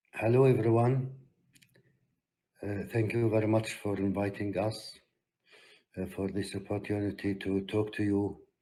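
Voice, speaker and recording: A man's fairly low, dark and mellow voice at a moderate pace, flat and monotone, with long, frequent pauses and audible room echo. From Palestine. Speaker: peace activist. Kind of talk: conference talk. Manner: hesitant with fillers.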